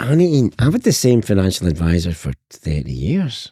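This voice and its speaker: On a very clean recording with a silent background and a dry, close sound with no echo, a man with a Scottish accent speaks in a dark, mellow tone with very wide pitch swings. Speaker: sales trainer. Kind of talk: interview. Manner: animated.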